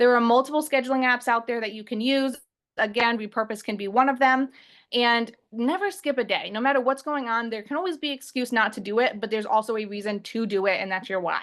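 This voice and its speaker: A woman with a fairly high pitch talks at a very fast pace. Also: ordinary pitch variation. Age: 20s. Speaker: online business coach. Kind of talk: webinar presentation. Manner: loud.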